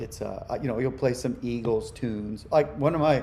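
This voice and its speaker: A man's voice, a normal speaking voice at medium pitch, comes through at a moderate speed. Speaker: musician. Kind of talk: interview.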